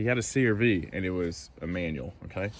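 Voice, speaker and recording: Noticeable background noise sits behind a man speaking with a Southern US accent and ordinary pitch variation. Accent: Southern US country. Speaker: car enthusiast YouTuber. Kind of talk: casual walkaround video. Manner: casual, many fillers.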